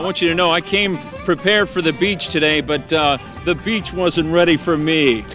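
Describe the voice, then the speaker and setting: A high-pitched male voice at a moderate pace, with clear music in the background. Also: ordinary pitch variation, dry sound with no echo. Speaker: television host, news anchor and former radio disc jockey. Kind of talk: casual on-camera host banter and news anchor intro.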